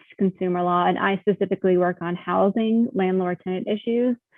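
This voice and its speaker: Speaking in a plain, everyday voice with an American accent, a woman keeps a medium pitch and fairly even intonation at a fairly quick pace. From North Carolina, Monroe. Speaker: attorney. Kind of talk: panel discussion.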